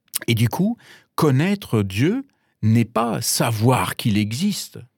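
Here a man with a German accent speaks at a very slow pace in a medium pitch with lively intonation. The recording is very clean with a silent background, and the sound is dry and close with no echo. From Germany, Bavaria. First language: German (speaking French). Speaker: pastor. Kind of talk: radio interview. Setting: radio studio. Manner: halting with many repetitions.

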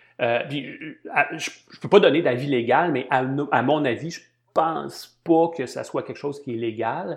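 A fairly slow man with a Quebec accent, fairly high pitch, and ordinary pitch variation over a quiet background. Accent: Québécois French. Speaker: marketing and analytics consultant and lecturer. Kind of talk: interview conversation. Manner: hesitant, many fillers and repetitions.

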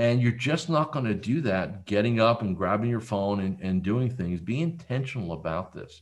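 Against a quiet background, a man with an American accent and an unremarkable speaking voice talks at a medium pitch and a moderate pace, his intonation lively. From central New Jersey. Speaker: business coach. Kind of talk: interview.

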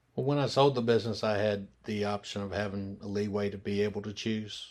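Very fast speech from a man with a Memphis accent, fairly low in pitch, on a very clean recording with a silent background. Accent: Southern US (Memphis). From US South, Memphis, Tennessee. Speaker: restaurant owner. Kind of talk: interview.

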